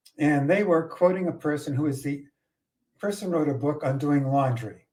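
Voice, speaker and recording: This man has a slight Boston accent and a fairly high pitch with a dark, mellow tone. He talks at a moderate pace with ordinary pitch variation. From Boston area, US. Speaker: podcast co-host. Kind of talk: casual chat.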